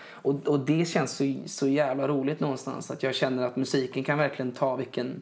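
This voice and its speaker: Delivery comes at a moderate speed. Intonation stays flat and monotone. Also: man. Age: 20s. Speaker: singer-songwriter. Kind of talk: casual chat. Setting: home living room. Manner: halting, many repeated words.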